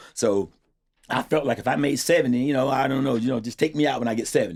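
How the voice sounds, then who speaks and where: Talking at a very fast pace, a man uses a medium pitch and an animated tone. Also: ordinary pitch variation. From Florida, Treasure Coast. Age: 60s. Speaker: towing business owner. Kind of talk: casual interview.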